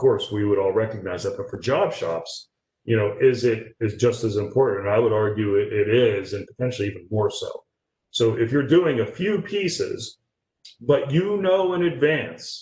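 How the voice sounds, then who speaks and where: Somewhat breathy, a man speaks at a medium pitch with very wide pitch swings. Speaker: industrial tooling director presenting webinar. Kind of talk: webinar Q&A. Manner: fast.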